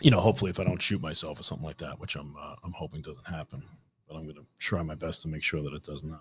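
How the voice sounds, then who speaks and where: A man with a New York accent talks very fast in a very deep, low, somewhat breathy voice, with ordinary pitch variation and big swings in loudness. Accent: New York City. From New York City, Staten Island. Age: 30s. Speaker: podcast host, new hunter. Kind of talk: solo podcast monologue. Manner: halting, many fillers and repeats.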